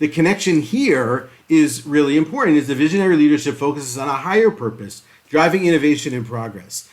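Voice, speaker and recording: A man speaks at a fairly high pitch for a man. His intonation is lively. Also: hardly any pauses. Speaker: podcast host and leadership coach. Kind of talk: solo podcast presentation. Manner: fast; uses fillers (uh).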